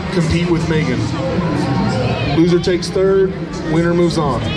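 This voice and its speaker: Loud music fills the background. Over it, a man talks. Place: hall.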